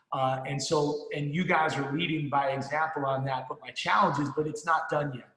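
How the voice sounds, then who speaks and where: Amid audible room echo, a man with an American accent talks at a moderate pace in a fairly high voice, with hardly any pauses. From New Jersey. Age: 50s. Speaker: financial services sales leader. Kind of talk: motivational speech. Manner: animated.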